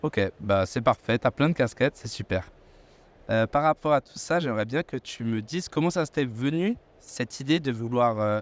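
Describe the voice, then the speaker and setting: Lively in intonation and moderate in pace, a man with a normal speaking voice talks at medium pitch, the sound dry and close with no echo. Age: 20s. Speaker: podcast host. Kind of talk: podcast interview. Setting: aviation trade show.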